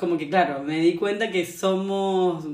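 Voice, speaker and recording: A woman with a Rioplatense accent, fairly low pitch and fairly even intonation, plus audible room echo. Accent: Argentine Spanish (rioplatense, voseo). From Argentina. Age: 20s. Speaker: traveller and yoga practitioner. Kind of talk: interview, casual conversation.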